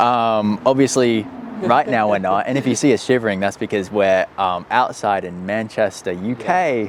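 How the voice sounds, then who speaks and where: With an Australian accent, a man speaks at a moderate pace and fairly low pitch, with ordinary pitch variation, over noticeable background noise. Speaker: startup co-founder. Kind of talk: casual chat. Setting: outdoors.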